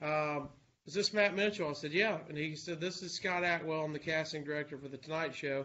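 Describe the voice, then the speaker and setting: Fairly high in pitch, a man talks at a fairly quick pace with fairly even intonation. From US South, Alabama. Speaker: radio host. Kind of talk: casual chat.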